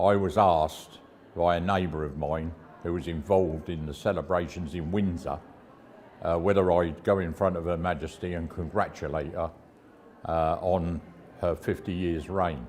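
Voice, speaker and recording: With a southern English accent, a man speaks at a moderate pace in a very deep, low pitch and fairly even intonation. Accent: English, south of England. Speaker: town crier. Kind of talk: interview answer, storytelling. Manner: conversational, anecdotal.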